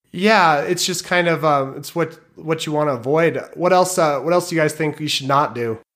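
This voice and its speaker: A man with an ordinary speaking voice, fairly high in pitch with ordinary variation, at a moderate pace and with hardly any pauses. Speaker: producer and software developer. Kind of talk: casual podcast chat.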